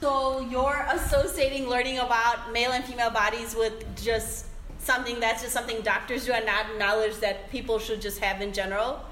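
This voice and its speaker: A woman with a fairly high pitch talks at a fairly quick pace with hardly any pauses and fairly even intonation. Noticeable background noise is present. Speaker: podcast host. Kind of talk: casual interview discussion.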